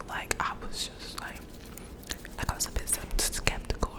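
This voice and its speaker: Fairly slow whispering from a woman, noticeable background noise behind it. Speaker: ASMR creator. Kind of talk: ASMR storytime. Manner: whispered, soft.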